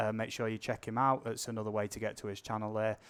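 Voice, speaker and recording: On a very clean recording with a silent background, a man with a British accent talks at a medium pitch. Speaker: drone channel live streamer. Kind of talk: casual live stream chat. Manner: talkative.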